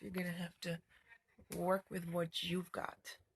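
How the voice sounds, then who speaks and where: Mumbling at a moderate pace, a woman speaks in a somewhat breathy voice at a medium pitch. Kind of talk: casual talk to camera.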